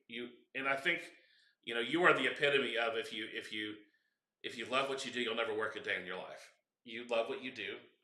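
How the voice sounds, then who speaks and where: Amid audible room echo, a man with a medium pitch and a bright, sharp tone speaks at a fairly quick pace, with long, frequent pauses and ordinary pitch variation. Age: 40s. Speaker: event host. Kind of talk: casual interview chat. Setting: live stream at an event.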